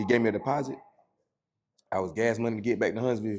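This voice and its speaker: With an American accent, a man speaks at a very fast pace. His pitch is medium. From rural Georgia, US South. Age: 30s. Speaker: stand-up comedian. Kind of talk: casual podcast interview. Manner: animated.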